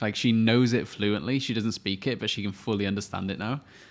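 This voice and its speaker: In a very clean recording with a silent background, a man with a Welsh accent speaks at a fairly quick pace and a fairly low pitch. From Wales. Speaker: podcast co-host. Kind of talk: casual chat.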